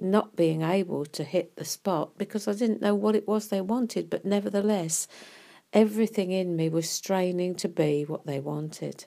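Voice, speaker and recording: Moderate pace, dark and mellow tone and ordinary pitch variation on a very clean recording with a silent background. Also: woman, medium pitch for a woman. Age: 80s+. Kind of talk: devotional talk. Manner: halting.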